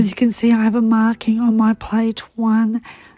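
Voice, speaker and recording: At a moderate pace, a woman talks with fairly high pitch, a dark, mellow tone and a somewhat breathy quality. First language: Croatian. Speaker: papercraft demonstrator. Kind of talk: tutorial.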